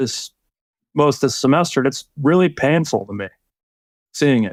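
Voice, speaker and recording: On a very clean recording with a silent background and a dry, close sound with no echo, a man at a fairly high pitch speaks at a moderate pace with ordinary pitch variation. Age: 50s. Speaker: professor. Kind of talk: conversational interview discussion. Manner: halting.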